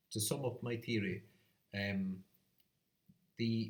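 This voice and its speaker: Somewhat breathy and fairly low in pitch, a man's voice comes through. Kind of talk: educational talk to camera. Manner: rambling, hesitant.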